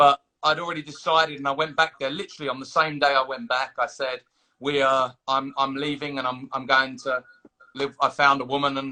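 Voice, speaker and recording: A loud man with an Australian accent speaks at a fairly quick pace and a fairly high pitch. His tone is bright and sharp, his intonation monotone and flat. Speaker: staffing agency owner. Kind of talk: interview. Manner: halting, repetitive.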